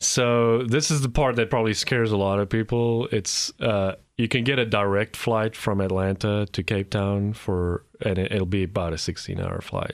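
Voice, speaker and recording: A man speaks at a moderate pace with a South African accent, his pitch fairly low and his loudness very even. The recording is very clean, with a silent background. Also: ordinary pitch variation. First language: Afrikaans. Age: 40s. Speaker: immigrant guest. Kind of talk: interview. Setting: studio. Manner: halting, repeats words.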